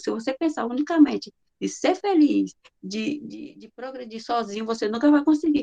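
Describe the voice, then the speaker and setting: The sound is dry and close, without any echo. A woman talks at a moderate speed. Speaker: spiritist course presenter. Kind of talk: lecture.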